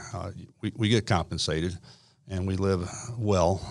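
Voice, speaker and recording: The man's very deep, low pitch and fairly even intonation come through on a very clean recording with a silent background. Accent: American. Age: 60s. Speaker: retired army officer and school program administrator. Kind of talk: interview. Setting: studio.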